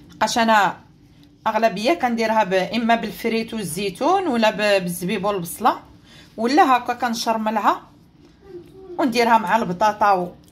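A woman with an ordinary speaking voice talks at a fairly slow pace in a fairly high pitch, with ordinary pitch variation. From Morocco. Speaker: cooking channel host. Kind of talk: cooking tutorial. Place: kitchen. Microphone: phone near.

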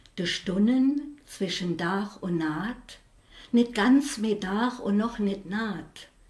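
A woman at a medium pitch speaks very slowly, with long, frequent pauses. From Saarland, Saarlouis; Saarland. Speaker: dialect poet. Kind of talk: poetry reading. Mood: calm, reflective. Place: home room.

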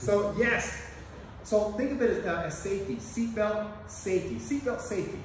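A man speaks in a high voice with strong room echo and light background noise behind him. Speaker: martial arts instructor. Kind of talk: tutorial. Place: gym. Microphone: camera far.

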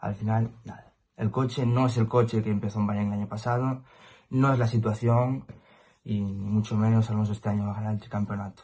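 A man speaks at a fairly quick pace in a fairly low pitch, his dark, mellow tone carrying a slightly husky edge and little pitch movement.

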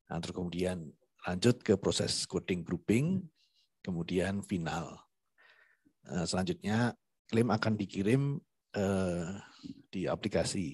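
A man's very deep, low voice with ordinary pitch variation against a quiet background. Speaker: IT team member. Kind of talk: tutorial. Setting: video call. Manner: halting.

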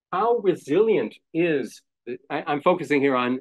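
The man speaks with a fairly high pitch. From Israel. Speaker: professor emeritus. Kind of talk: academic lecture. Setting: live event with audience.

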